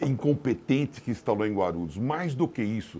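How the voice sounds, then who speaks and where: The man's voice sits at a medium pitch. It swings very widely up and down. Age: 60s. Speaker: mayoral candidate and businessman. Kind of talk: political interview.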